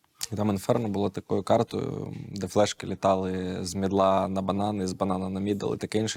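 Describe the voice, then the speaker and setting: With an ordinary speaking voice, a man of fairly low pitch talks at a moderate pace in a dry, close sound with no echo. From Ukraine, raised in Kyiv. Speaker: esports coach. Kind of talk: casual chat.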